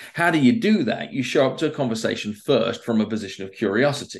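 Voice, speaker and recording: This man speaks with an English accent at a medium pitch. He goes at a very fast pace with very wide pitch swings. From England. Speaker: persuasion expert and author. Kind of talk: interview conversation.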